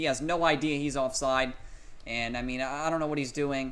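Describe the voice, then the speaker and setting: A man with a medium-pitched voice speaks at a fairly quick pace, with audible room echo. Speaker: gaming commentator. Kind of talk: live commentary. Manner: animated; loud.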